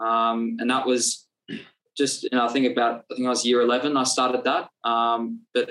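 With an Australian accent, a man speaks at a moderate pace and medium pitch in a monotone, flat intonation. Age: 20s. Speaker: personal trainer and nutritionist. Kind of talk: casual interview chat. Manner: halting, many fillers.

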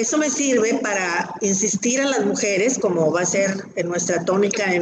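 A woman at a fairly slow pace, with ordinary pitch variation and audible room echo. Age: 60s. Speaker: breast cancer survivor. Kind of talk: testimony.

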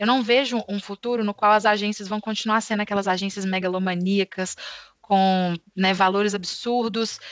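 A woman speaks at a moderate pace and medium pitch in a monotone, flat way. The sound is dry and close with no echo against a quiet background. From Brazil, Belo Horizonte. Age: 20s. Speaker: account manager at a tech company. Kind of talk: interview.

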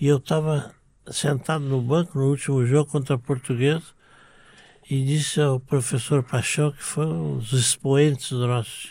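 In a very clean recording with a silent background, a man with a fairly high pitch and a somewhat breathy voice talks at a moderate pace with ordinary pitch variation. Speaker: former football club president. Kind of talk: interview storytelling.

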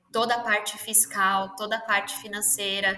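A woman speaks with a fairly high pitch. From São Paulo, Brazil. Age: 30s. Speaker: entrepreneur. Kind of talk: interview.

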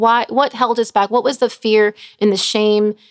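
In a very clean recording with a silent background and a dry, close sound with no echo, a woman with an American accent and an unremarkable speaking voice talks at a moderate pace with fairly even intonation. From Chicago area, Illinois. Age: 40s. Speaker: nurse and recovery ministry leader. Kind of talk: testimony.

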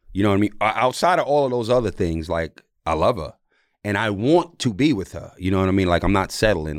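A man talks at a fairly quick pace in a fairly low pitch, his intonation lively. The recording is very clean, with a silent background. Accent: New York. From New York City. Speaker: former basketball player and podcast host. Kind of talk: casual chat.

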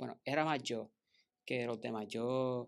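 A man speaks at a fairly slow pace. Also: very clean recording, silent background. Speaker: engineer. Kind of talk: casual chat.

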